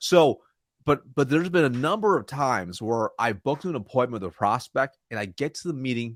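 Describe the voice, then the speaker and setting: Fairly quick and medium-pitched, a man's voice swings very widely in pitch in a very clean recording with a silent background and a dry, close sound with no echo. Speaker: sales trainer. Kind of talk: interview. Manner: fast; mumbling.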